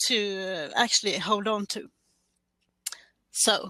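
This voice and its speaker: A bright, sharp tone with a Swedish accent at a very slow pace. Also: woman. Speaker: podcaster. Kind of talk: scripted presentation. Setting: online stream.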